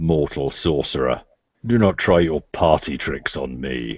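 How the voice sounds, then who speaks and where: A man bellows in a booming, very deep, low put-on character voice. His intonation is lively and his pace fairly slow. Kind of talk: grand, scornful. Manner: roaring, booming.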